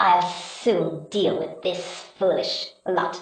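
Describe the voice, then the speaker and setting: A put-on character voice, female-sounding and at a medium pitch, with hissing, a very slow pace and a slight echo. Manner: hissing, menacing.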